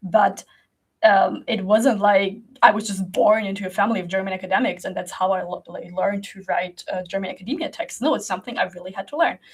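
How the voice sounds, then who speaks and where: Speaking at a very fast pace, a woman with a medium pitch and ordinary pitch variation sounds somewhat breathy, with big swings in loudness. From Germany. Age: 20s. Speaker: creative coach and video creator. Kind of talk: casual monologue to camera. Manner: halting.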